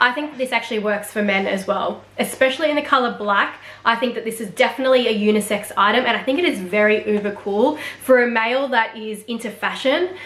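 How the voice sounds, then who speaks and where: A woman with an Australian accent speaks at a fairly quick pace in a fairly high pitch, with ordinary pitch variation. Noticeable background noise and audible room echo surround her voice. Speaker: fashion vlogger. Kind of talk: product review. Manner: fast.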